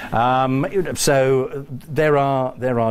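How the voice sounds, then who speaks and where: Noticeable background noise and audible room echo surround a man speaking with a British accent. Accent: English (British RP-like). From England. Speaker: college dean giving a talk. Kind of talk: lecture. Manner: hesitant, with fillers.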